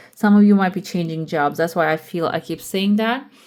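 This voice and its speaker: A woman's fairly low voice with fairly even intonation, a normal speaking voice. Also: very clean recording, silent background. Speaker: tarot reader. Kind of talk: tarot reading. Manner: casual, with fillers.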